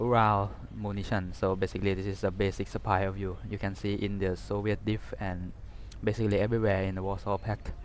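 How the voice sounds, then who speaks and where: A man with a Thai accent talks at a fairly quick pace. His fairly low voice keeps a monotone, flat intonation. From Thailand. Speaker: gaming YouTuber. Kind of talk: game unit review. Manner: halting, many fillers; casual.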